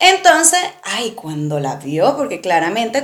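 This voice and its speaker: With a Venezuelan accent, a woman speaks in a fairly high, animated voice at a moderate pace, amid noticeable background noise and audible room echo. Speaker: podcast co-host. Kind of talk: casual chat.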